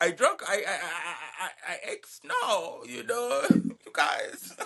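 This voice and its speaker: Noticeable background noise sits behind a man with a Ugandan accent. He speaks at a very slow pace. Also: big swings in loudness. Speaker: podcast co-host. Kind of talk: casual chat.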